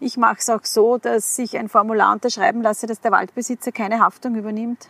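Her tone is bright and sharp, her pitch fairly high for a woman. The sound is dry and close with no echo. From Upper Austria, rural. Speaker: kindergarten teacher. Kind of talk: casual interview. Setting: outdoors in a forest.

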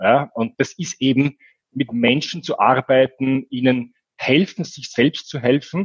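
A man with a plain, everyday voice at a medium pitch, ordinary pitch variation, and a dry, close sound with no echo. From Austria, Vienna. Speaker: business coach. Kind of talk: interview.

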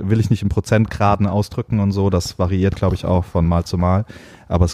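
A man's very deep, low voice with a dark, mellow tone, fairly even intonation and a fairly quick pace. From Heidelberg, Germany. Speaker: fashion and beauty photographer. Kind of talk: casual chat.

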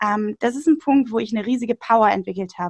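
A woman talks at a fairly quick pace in a high pitch. The sound is dry and close, with no echo. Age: 20s. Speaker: nutrition podcaster and author. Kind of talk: casual interview. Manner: hesitant, many fillers.

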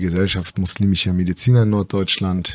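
This is a man with an ordinary speaking voice at a fairly low pitch and fairly even intonation. The recording is very clean, with a silent background. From northern Germany, East Frisia (Aurich). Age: 30s. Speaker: physician. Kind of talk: casual interview.

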